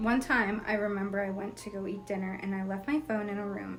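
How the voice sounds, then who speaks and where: A woman at medium pitch, talking at a fairly quick pace with fairly even intonation, amid audible room echo and noticeable background noise. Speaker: YouTuber reading follower stories. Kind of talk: reading aloud.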